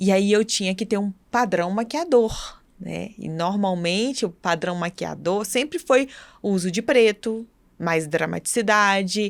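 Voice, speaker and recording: The recording is very clean, with a silent background. A woman speaks fairly slowly at medium pitch with ordinary pitch variation. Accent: Minas Gerais. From Brazil, Minas Gerais. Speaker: podcast co-host, image consultant. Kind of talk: casual chat.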